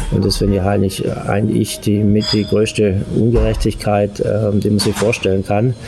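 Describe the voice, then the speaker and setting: With music in the background, the speaker talks at a moderate pace in a flat monotone at very even loudness. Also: man, fairly low pitch for a man. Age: 50s. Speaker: interview guest. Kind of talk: casual interview. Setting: Italian restaurant.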